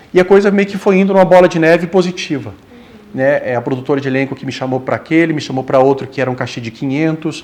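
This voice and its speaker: A man talks at a very fast pace with a fairly high pitch and ordinary pitch variation. Noticeable background noise sits behind him. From southern Brazil, Rio Grande do Sul (Passo Fundo). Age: 40s. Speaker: actor. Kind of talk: interview.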